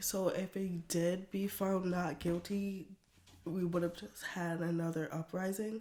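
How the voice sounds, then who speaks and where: A woman's fairly low, dark and mellow voice at a fairly slow pace, with fairly even intonation. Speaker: podcast guest. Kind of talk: casual chat.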